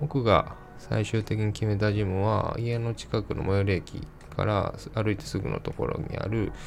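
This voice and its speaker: A man's relaxed tone at a moderate pace, with music in the background. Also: fairly low pitch for a man, fairly even intonation. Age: 30s. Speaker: podcast host. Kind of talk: casual solo podcast talk.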